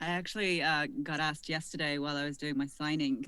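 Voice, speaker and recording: This woman's voice is very deep and low in pitch, with a bright, sharp tone. Her pitch varies in an ordinary way. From United Kingdom. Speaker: voice actor. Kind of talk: panel discussion.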